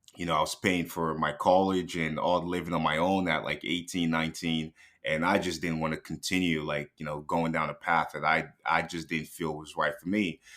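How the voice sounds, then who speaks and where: With a very deep, low pitch, a man talks in a monotone, flat intonation. He leaves hardly any pauses. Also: moderate pace. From Nigeria, moved to Canada at about 14. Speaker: day trader and business owner. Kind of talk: podcast interview.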